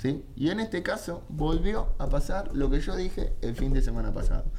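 Room echo is audible as a man speaks at a moderate pace. His pitch swings very widely. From Argentina. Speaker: football radio show host and analyst. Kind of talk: casual sports talk radio. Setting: radio studio, live. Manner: animated.

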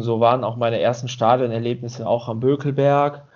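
Speaking at a moderate pace, a man keeps his medium-pitched voice in a monotone, flat intonation. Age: 30s. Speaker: podcast co-host. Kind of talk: casual chat.

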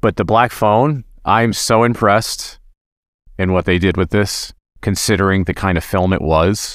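An ordinary speaking voice from a man, fairly low in pitch, with ordinary pitch variation, a fairly slow pace and very even loudness. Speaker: podcast co-host.

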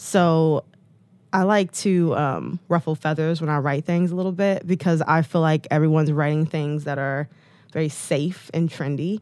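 A woman speaks at a moderate pace with an American accent, her pitch very deep and low. The recording is very clean, with a silent background. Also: dry, close sound with no echo. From Detroit, US Midwest. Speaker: model and blogger. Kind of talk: casual interview chat. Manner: animated.

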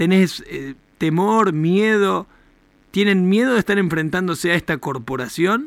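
This man has a high voice and lively intonation, and he talks fairly slowly. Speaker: radio host. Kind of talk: radio talk show interview. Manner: animated.

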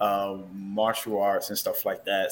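The speaker has an American accent and talks at a moderate pace. The recording is very clean, with a silent background. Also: man. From Newark, New Jersey. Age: 30s. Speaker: singer. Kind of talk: casual interview.

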